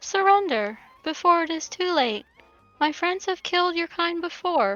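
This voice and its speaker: Put-on character voice at a moderate pace, with faint music in the background. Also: woman, extremely high pitch for a woman. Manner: calm, menacing.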